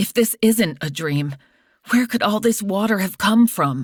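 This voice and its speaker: The delivery is dramatic, fairly slow and full of lively intonation. The recording is very clean, with a silent background. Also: woman. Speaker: audiobook narrator. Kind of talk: audiobook narration, first-person dramatic excerpt. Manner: tense, urgent, dramatic.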